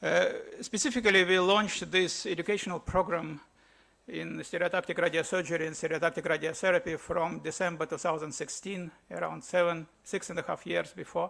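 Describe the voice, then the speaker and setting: A man with a Russian accent, high-pitched and bright with a sharp tone, at a fairly quick pace with fairly even intonation. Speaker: physician, education committee chairman. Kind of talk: conference address. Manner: hesitant, many fillers.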